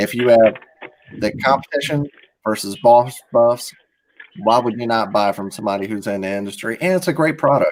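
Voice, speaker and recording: Speaking with an American accent, a man uses a medium pitch and ordinary pitch variation at a moderate pace. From US South, Alabama. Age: 40s. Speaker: tournament host. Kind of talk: live commentary; sponsor ad read. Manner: animated.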